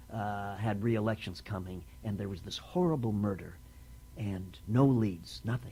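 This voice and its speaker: This man's voice is fairly low and somewhat breathy, with a dark, mellow tone. He talks at a moderate pace with lively intonation. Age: 70s. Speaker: actor, writer and producer. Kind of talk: oral history interview. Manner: halting, with many fillers.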